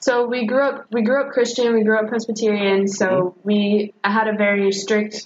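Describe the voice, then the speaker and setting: A woman with an American accent and an unremarkable speaking voice talks at a moderate pace with hardly any pauses, her fairly high pitch held in fairly even intonation. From North Carolina (Jamestown, near Greensboro). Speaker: graduate student. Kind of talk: casual interview.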